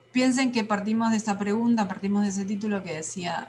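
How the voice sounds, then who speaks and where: A woman speaks very fast at a medium pitch. Noticeable background noise runs underneath. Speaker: teacher. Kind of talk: lecture.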